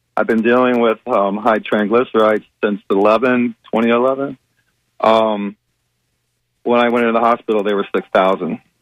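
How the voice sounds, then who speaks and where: With a plain, everyday voice, a man in an American accent speaks at medium pitch and a fairly slow pace with fairly even intonation. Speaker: caller. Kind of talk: casual phone call with a health question. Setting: phone call.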